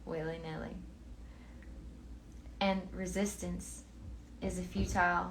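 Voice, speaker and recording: A woman speaks in a soothing tone. Her pace is very slow. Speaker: book reader. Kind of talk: philosophy book reading.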